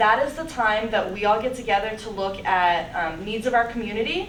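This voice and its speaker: A woman's fairly high voice is heard with audible room echo and noticeable background noise. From Pennsylvania (born in Russia, adopted at eight). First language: Russian. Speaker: AmeriCorps volunteer. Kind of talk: casual Q&A answer; presentation at a club meeting.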